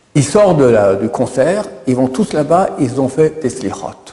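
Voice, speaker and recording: The voice moves at a very slow pace, with audible room echo and noticeable background noise. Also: man. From Israel. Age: 60s. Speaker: rabbi. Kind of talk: religious lecture. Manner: repetitive, stammering.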